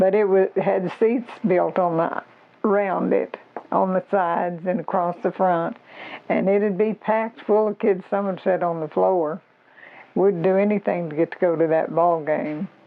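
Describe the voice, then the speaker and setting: A woman of medium pitch speaks in an Arkansas accent at a fairly slow pace with fairly even intonation. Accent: US Southern (Arkansas). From Arkansas, US South. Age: 80s+. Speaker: local elder sharing memories. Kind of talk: oral history interview.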